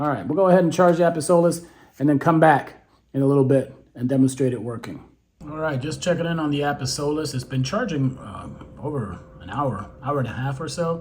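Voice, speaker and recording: A fairly high-pitched man with lively intonation and a fairly quick pace, amid audible room echo. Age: 60s. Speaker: beekeeping youtuber. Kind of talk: casual product unboxing and demo. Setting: at home, later outdoors. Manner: casual, hesitant with many fillers.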